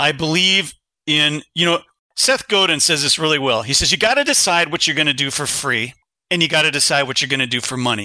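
Talking at a fairly quick pace, a man with an American accent has a fairly high pitch and ordinary pitch variation. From Ohio, grew up on a farm in Kensington after early years near Chicago. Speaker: engineering firm CEO and podcaster. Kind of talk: interview conversation.

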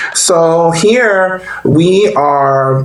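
A man's voice with ordinary pitch variation is heard amid audible room echo and noticeable background noise. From New Orleans, Louisiana. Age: 30s. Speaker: nonprofit case manager. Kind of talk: podcast interview.

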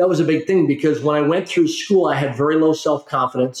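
Fairly high in pitch with fairly even intonation, a man talks in a plain, everyday voice. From Canada. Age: 50s. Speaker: corporate trainer and philanthropist. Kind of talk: interview.

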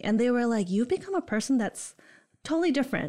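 A woman speaks in a Michigan accent at a high pitch, with very wide pitch swings. The recording is very clean, with a silent background. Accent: US Midwest (Michigan). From Holland, Michigan. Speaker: college student engagement coordinator. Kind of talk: casual interview. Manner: enthusiastic.

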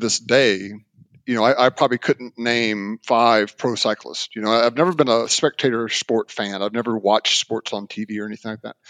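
A man at medium pitch, fairly quick pace, dry, close sound with no echo and a quiet background. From US South, Mobile, Alabama. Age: 50s. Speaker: endurance cyclist. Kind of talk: casual interview. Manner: halting, many repetitions and fillers.

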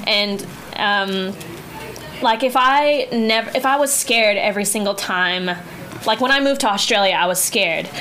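Speaking at a moderate pace with long, frequent pauses, a woman has a fairly high pitch and ordinary pitch variation. Her loudness stays very even over noticeable background noise. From Guam. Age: 20s. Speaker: musical theater actor. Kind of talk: casual interview chat. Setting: studio.

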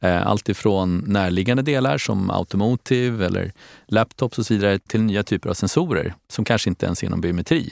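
Fairly quick and fairly low, a man talks in an ordinary speaking voice with ordinary pitch variation. The recording is very clean with a silent background, and the sound is dry and close, with no echo. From Stockholm, Sweden. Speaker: company CEO. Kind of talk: interview.

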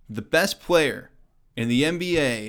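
The speaker has a Midwestern American accent on a very clean recording with a silent background. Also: man. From US Midwest, Kansas City. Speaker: sports podcast host. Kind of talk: solo sports commentary podcast. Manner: casual, conversational.

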